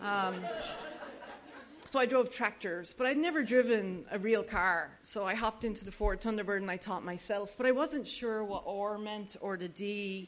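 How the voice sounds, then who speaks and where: A woman at medium pitch with ordinary pitch variation, a moderate pace and audible room echo. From Ireland (Dublin). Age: 40s. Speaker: AA speaker, recovering alcoholic. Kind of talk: testimony.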